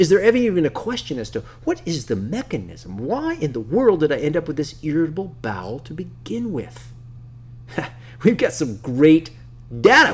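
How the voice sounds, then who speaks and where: Fairly quick and animated, a man speaks at a fairly high pitch with very wide pitch swings. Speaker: nutritionist teaching health practitioners. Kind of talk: online course lecture. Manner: fast; animated, sometimes stumbling.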